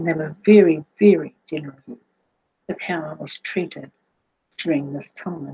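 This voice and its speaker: Somewhat breathy and dark, mellow in tone, a woman with a New Zealand accent speaks fairly slowly in a very deep, low pitch with ordinary pitch variation, recorded dry and close with no echo. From New Zealand, Auckland. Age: 60s. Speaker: cancer patient sharing health testimony. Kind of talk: personal testimony. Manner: halting, with fillers.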